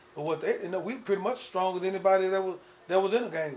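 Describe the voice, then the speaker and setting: Light background noise sits under a man speaking at a very fast pace in a high pitch. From Texas, McKinney; Texas. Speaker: former gang founder turned minister; interviewee. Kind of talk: interview. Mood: reflective, earnest. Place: home room.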